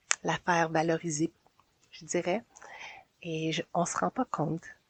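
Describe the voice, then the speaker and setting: A woman's fairly low voice with a Quebec accent. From Quebec, Montreal south shore. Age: 40s. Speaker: community organizer. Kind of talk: interview. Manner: hesitant.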